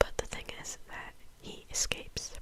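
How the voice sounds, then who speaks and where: A woman is whispering. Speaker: ASMR content creator. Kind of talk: ASMR whispered movie review. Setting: home recording with some background noise. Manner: whispered, soft-spoken.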